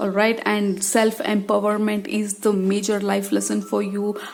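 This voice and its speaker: Noticeable background noise behind a woman speaking at a medium pitch. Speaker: tarot reader. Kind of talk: tarot reading talk to camera.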